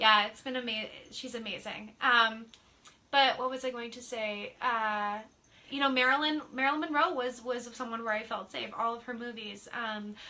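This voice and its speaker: A woman speaks at a moderate pace with a high pitch and a bright, sharp tone. Her loudness swings widely while her intonation stays fairly even. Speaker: psychic medium. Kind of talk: casual chat.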